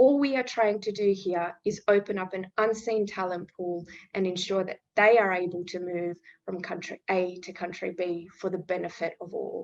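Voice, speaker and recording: A woman with an Australian accent, her loudness swinging widely. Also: medium pitch for a woman, fairly even intonation, moderate pace. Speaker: refugee employment program representative. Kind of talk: webinar presentation. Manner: formal.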